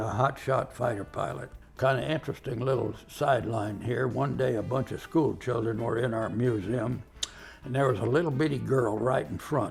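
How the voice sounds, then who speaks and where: With music in the background, a man of medium pitch talks at a moderate pace with ordinary pitch variation. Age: 90s. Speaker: war veteran. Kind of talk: storytelling. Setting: museum.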